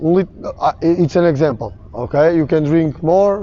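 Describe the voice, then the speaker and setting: A man with a Portuguese accent speaks at a fairly slow pace and a high pitch. Noticeable background noise can be heard. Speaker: sports coach and athlete. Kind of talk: seminar lecture. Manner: halting, many fillers.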